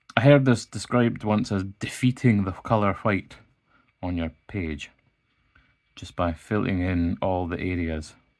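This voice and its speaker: In a Scottish accent, a man with a very deep, low pitch speaks at a fairly slow pace on a very clean recording with a silent background. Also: ordinary pitch variation. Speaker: illustrator. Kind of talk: art tutorial narration. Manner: calm, casual.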